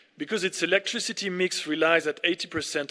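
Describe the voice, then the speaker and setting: A man with a French accent speaks at a moderate pace in a bright, sharp tone, in a very clean recording with a silent background. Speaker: ambassador. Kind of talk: formal speech.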